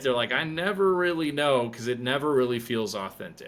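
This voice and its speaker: A man with an American accent talks at a moderate pace in a medium pitch, with a plain, everyday voice. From South Dakota, US Midwest. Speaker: therapist and author. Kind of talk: casual interview chat.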